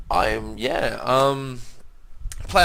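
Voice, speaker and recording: With an Australian accent, this man's voice rises and falls in an ordinary way. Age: 20s. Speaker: gaming youtuber. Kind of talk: let's play commentary. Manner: casual, hesitant with many fillers.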